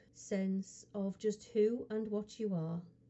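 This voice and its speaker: A woman's very slow, somewhat breathy voice, soothing and calm in tone, with monotone, flat intonation. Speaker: hypnotherapist. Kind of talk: hypnosis guided relaxation session. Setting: studio recording. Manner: slow, soothing, calm.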